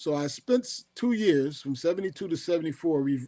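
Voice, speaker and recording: Speaking at a fairly quick pace with an American accent, a man has a fairly high pitch and a dark, mellow tone. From US Northeast, Philadelphia. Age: 70s. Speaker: physician and author. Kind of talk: interview. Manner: halting.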